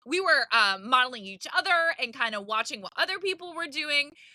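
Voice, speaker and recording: With a raised, projected voice, a woman speaks fairly quickly in an animated tone, her pitch swinging very widely. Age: 40s. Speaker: podcast host, live-selling coach. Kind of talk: podcast monologue. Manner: loud.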